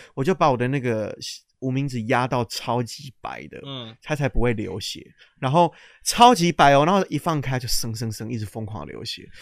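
A normal speaking voice from a man, medium in pitch, at a moderate pace, with ordinary pitch variation, big swings in loudness and a dry, close sound with no echo. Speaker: podcast co-host. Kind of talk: casual chat. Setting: lying in bed, recording on a laptop.

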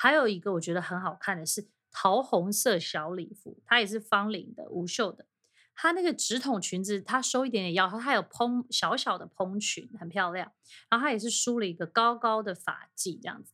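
On a very clean recording with a silent background, a woman speaks at a moderate pace in a fairly high, bright, sharp voice. Her intonation is lively and her loudness swings widely. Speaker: podcast host. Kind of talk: solo film and fashion talk.

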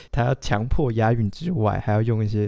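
On a very clean recording with a silent background, a man with a Taiwanese accent speaks in a dark, mellow tone with fairly even intonation. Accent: Taiwanese Mandarin. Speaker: literature graduate student, podcast co-host. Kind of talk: casual chat.

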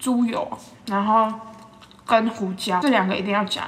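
A woman talks fairly quickly, her pitch varying in an ordinary way, while background noise is noticeable. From Taiwan, Yilan. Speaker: podcast host, food reviewer. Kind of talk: casual food review monologue. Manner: animated.

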